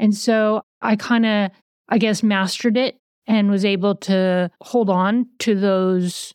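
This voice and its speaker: A woman speaks in a plain, everyday voice at a medium pitch. Her intonation is fairly even, and the background is quiet. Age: 50s. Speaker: podcast host in eating disorder recovery. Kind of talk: personal testimony.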